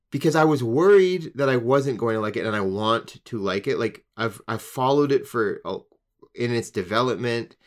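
On a very clean recording with a silent background, a man with an unremarkable speaking voice talks at a moderate pace, with medium pitch and lively intonation. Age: 30s. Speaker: guest co-host. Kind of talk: casual chat.

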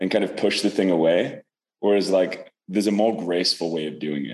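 The speech moves at a fairly quick pace with ordinary pitch variation. Vocal fry is present throughout. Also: man. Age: 30s. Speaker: personal growth coach. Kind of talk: interview.

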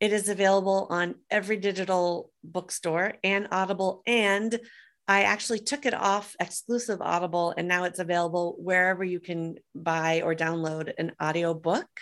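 Over a quiet background, an unremarkable speaking voice moves at a moderate pace with fairly even intonation and hardly any pauses. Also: woman, medium pitch for a woman. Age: 50s. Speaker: author and entrepreneur. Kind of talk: interview.

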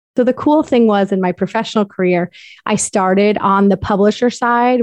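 In a normal speaking voice, a woman with an American accent talks at a moderate pace and medium pitch with ordinary pitch variation, the sound dry and close with no echo and the background quiet. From US Northeast, Connecticut. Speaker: infertility coach. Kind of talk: interview.

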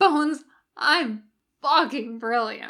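Putting on a character voice, a woman talks very slowly at a high pitch with a fairly bright tone. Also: ordinary pitch variation.

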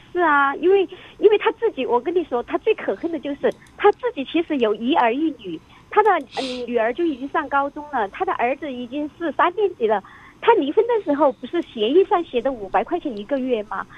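A woman speaks at a fairly quick pace with high pitch. Her pitch swings very widely. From Chongqing, China. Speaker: radio call-in listener. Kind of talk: personal account to an advice host.

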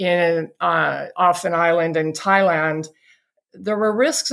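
An ordinary speaking voice belongs to this woman, who talks at a fairly slow pace with fairly even intonation on a very clean recording with a silent background. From England and the US. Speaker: clean energy company CEO. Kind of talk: interview.

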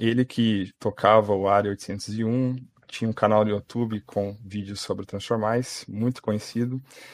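At a fairly slow pace, the words come out in a monotone, flat intonation. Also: man, very clean recording, silent background. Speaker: podcast host and game moderator. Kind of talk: casual chat.

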